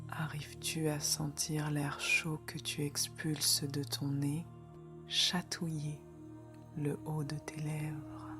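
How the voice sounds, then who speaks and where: With music in the background, a woman speaks very slowly in a very deep, low voice. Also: ordinary pitch variation. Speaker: meditation guide. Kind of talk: guided meditation. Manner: slow, calm, soothing.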